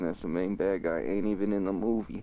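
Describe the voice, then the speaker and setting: This man's pitch is fairly low, and his tone is dark and mellow. His intonation stays fairly even at a moderate pace. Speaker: livestreamer. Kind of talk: casual chat. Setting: livestream.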